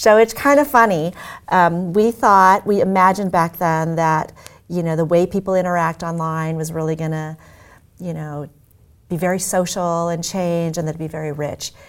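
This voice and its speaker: In a very clean recording with a silent background, a woman with a plain, everyday voice and a fairly low pitch talks at a moderate pace with ordinary pitch variation. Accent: American. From US Midwest (Omaha, Nebraska). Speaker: tech executive. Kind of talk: interview.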